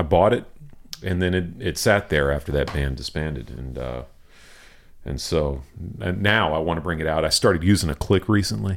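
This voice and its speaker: A man with a very deep, low voice speaks in an American accent. His intonation is lively, broken by long, frequent pauses. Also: moderate pace. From Houston, Texas. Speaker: drummer. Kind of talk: casual interview chat.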